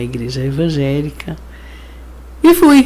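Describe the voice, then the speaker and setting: A woman speaks over noticeable background noise. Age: 60s. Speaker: pastor and social worker. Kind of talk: interview testimony. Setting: studio.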